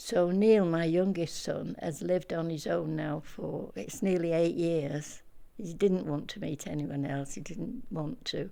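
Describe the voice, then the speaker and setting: At a fairly slow pace with hardly any pauses, a woman speaks in a fairly low pitch with a dark, mellow tone. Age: 80s+. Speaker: older person sharing life story. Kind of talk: life story interview. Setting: at home in her flat. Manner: halting.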